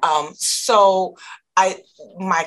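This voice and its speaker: A woman speaks with an American accent. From Michigan, US. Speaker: distributor company founder. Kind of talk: casual interview.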